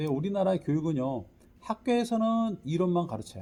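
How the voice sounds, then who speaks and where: With very wide pitch swings, a man speaks at a fairly quick pace in a high pitch with a dark, mellow tone. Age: 60s. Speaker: lecturer and teacher. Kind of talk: lecture.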